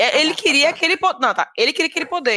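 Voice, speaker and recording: A woman talks at a fairly quick pace in a bright, sharp tone, her pitch swinging very widely, with a dry, close sound and no echo. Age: 30s. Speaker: podcast guest, film fan. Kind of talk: casual chat.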